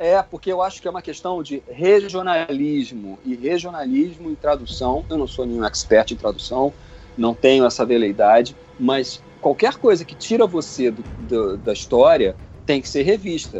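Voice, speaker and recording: Background noise is noticeable. The speaking pace is moderate. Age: 50s. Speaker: sci-fi writer and commentator. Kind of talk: casual chat. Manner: animated.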